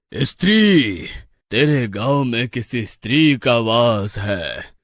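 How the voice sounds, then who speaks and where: In a cartoonish character voice, a man speaks at a very slow pace with lively intonation and a medium pitch. The recording is very clean, with a silent background. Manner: stern, commanding.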